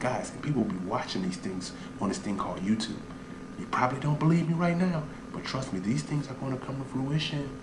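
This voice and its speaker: A man whispers at a very fast pace, with audible room echo and noticeable background noise. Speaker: online business coach. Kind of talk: comedic sales pitch. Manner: whispering; animated.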